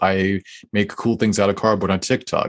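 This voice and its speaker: A plain, everyday voice at a fairly quick pace, fairly even in intonation, over a quiet background. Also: man. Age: young. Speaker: cardboard artist and social media creator. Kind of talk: casual interview.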